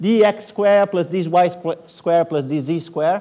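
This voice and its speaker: The speaker is a man with a high voice. His pitch moves in an ordinary way. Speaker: physics professor. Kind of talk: lecture. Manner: fast; halting.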